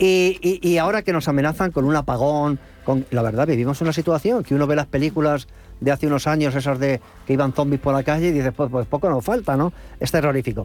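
A man talks at a very fast pace and fairly high pitch with very even loudness. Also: ordinary pitch variation. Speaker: radio host. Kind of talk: panel talk show.

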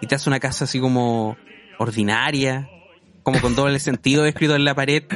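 A man in a Chilean accent, medium in pitch, at a fairly quick pace, with fairly even intonation and very even loudness. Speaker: podcast guest. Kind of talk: casual chat. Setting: at home.

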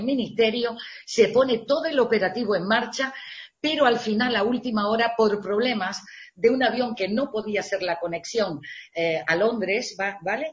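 This woman speaks at a moderate pace in a medium pitch, with ordinary pitch variation and a somewhat breathy quality. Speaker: radio presenter. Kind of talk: interview.

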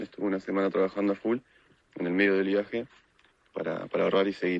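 With a Rioplatense accent, a man speaks at a fairly low pitch in a dry, close sound with no echo. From Argentina, Buenos Aires. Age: 20s. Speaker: motorcycle traveler. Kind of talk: recorded testimony.

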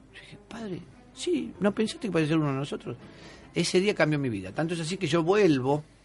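Music plays in the background as a man speaks at a very fast pace. His pitch is high, and his intonation is lively. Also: big swings in loudness. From Argentina, Buenos Aires. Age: 50s. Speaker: exorcist bishop. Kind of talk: radio interview. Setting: radio studio.

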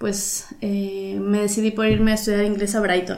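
The speech moves at a fairly slow pace. Room echo can be heard. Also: woman. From Mexico, Veracruz. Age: 30s. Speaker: painter. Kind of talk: casual interview chat.

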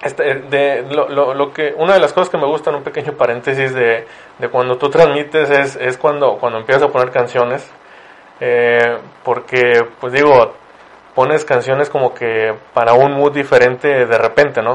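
Speaking at a moderate pace, a man keeps a fairly even intonation. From Ciudad Victoria, Tamaulipas, northeastern Mexico. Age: 30s. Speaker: podcast host. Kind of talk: casual interview. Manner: halting, many repeated words.

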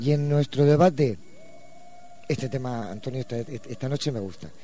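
A man speaks at a moderate pace in a medium pitch, somewhat breathy. His tone is dark and mellow, and his intonation lively. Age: 50s. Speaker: radio co-host. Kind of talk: radio talk show.

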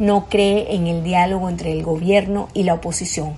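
Her pitch is medium for a woman, and she keeps a fairly even intonation. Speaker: news presenter. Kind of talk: news reading. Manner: serious.

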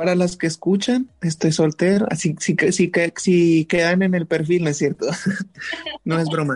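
Over noticeable background noise, a man speaks at a moderate pace in a high pitch, with fairly even intonation, very even loudness and a dry, close sound with no echo. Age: 20s. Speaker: guest. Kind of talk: casual chat.

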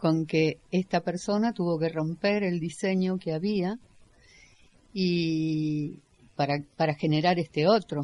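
Pausing long and often, a woman at a fairly low pitch speaks at a very slow pace with fairly even intonation. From Caseros, Buenos Aires area. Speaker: community radio co-host. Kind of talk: casual radio chat.

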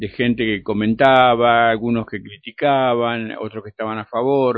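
An ordinary speaking voice, a man talks fairly slowly with fairly even intonation. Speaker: radio host. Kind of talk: radio interview.

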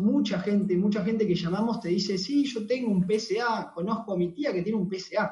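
This man speaks with a Rioplatense accent. His pitch is high. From Argentina, Buenos Aires (Temperley). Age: 20s. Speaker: network marketing distributor. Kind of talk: sales pitch. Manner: halting, repeated words.

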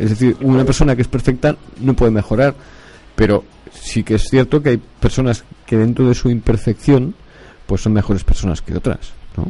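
A somewhat breathy man of medium pitch speaks at a fairly quick pace, with ordinary pitch variation and long, frequent pauses. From Barcelona, Catalonia. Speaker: radio host. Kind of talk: casual chat.

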